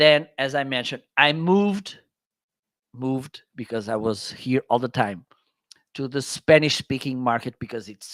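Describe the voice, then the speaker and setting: A man with a Portuguese accent speaks at a fairly slow pace. The sound is dry and close with no echo, and the recording is very clean with a silent background. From northern Portugal. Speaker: Amazon content creator. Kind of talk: interview chat. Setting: live stream.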